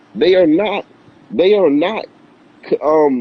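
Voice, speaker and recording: A man speaks in a high voice at a fairly slow pace. His tone is animated and his intonation lively. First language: not Spanish; Spanish is second language. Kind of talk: motivational talk in casual video chat. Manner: repetitive, halting restarts.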